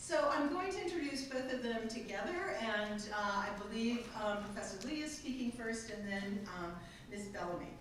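Strong room echo and light background noise surround a woman speaking at a fairly quick pace. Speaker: event host introducing speakers. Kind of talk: formal introduction. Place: hall.

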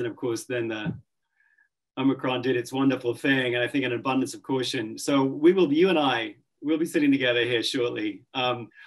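A man speaks at a fairly quick pace with fairly even intonation. The background is quiet. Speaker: guest. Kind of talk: interview answer. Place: home room. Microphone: webcam.

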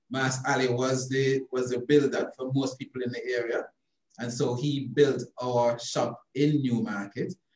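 Monotone, flat intonation from a man at a fairly slow pace, with audible room echo and a quiet background. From born in London, raised from 13 in rural Jamaica (St. Elizabeth); Jamaica. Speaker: obstetrician and gynecologist; interviewee. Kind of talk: interview about his life. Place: office. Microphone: video call.

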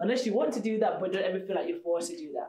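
Room echo is audible as a woman talks. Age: young. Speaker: event host. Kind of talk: motivational event hosting. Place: classroom.

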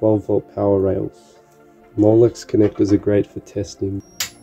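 Faint music plays in the background as a man talks in a fairly low pitch. His intonation is monotone and flat. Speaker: electronics hobbyist. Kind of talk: casual electronics tutorial narration. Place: home room. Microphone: phone near.

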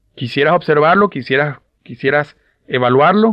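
Speaking at a fairly quick pace with lively intonation, a man has a plain, everyday voice. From Louisiana, US South. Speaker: business motivational speaker. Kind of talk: motivational talk.

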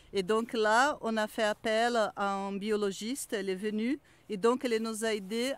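A woman's fairly high, fairly even voice at a fairly slow pace, an unremarkable speaking voice, on a very clean recording with a silent background. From Brazil. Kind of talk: casual chat.

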